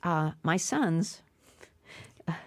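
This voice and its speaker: A woman with an American accent speaks in an animated tone at a fairly low pitch. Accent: Boston accent, comes up when emotional. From Massachusetts, Brockton (Boston area). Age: 70s. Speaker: stand-up comedian. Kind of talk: interview.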